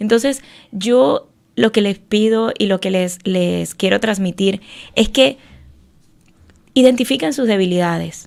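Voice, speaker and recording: Speaking at a fairly slow pace with long, frequent pauses, a woman keeps a medium pitch and ordinary pitch variation. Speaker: faith segment contributor, author. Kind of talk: faith talk radio segment. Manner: slow, measured.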